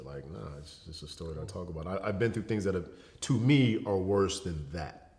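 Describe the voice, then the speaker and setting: A man speaks fairly quickly in a very deep, low voice with vocal fry. His pitch swings very widely, and the room echo is audible. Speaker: educator and entertainer, model. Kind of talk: casual interview conversation. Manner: casual, relaxed.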